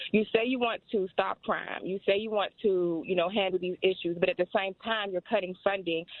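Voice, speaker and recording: An ordinary speaking voice from a woman with an American accent, medium in pitch, at a moderate pace, with fairly even intonation and hardly any pauses. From Washington, D.C. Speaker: caller. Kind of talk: call-in comment.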